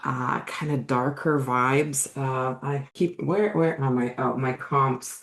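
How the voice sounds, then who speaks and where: Speaking in a Russian accent, a woman uses a very deep, low pitch, fairly even intonation and a fairly slow pace. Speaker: book coach and author. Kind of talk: casual chat. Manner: hesitant, many fillers.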